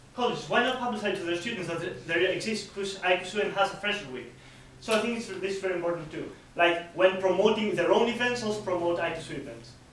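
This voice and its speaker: High-pitched man with a non-native accent at a very fast pace, ordinary pitch variation and big swings in loudness, amid noticeable background noise and audible room echo. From Greece. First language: not English. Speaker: student election candidate. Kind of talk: hustings Q&A. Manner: halting.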